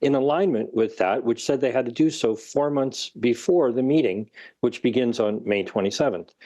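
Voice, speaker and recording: A man with a normal speaking voice talks at a medium pitch over a quiet background. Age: 60s. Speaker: researcher and author. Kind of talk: interview.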